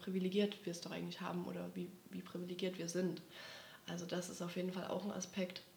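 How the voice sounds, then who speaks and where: A woman speaks in a fairly low pitch with monotone, flat intonation, over noticeable background noise and audible room echo. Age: 20s. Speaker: podcast host, social work student. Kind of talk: casual chat.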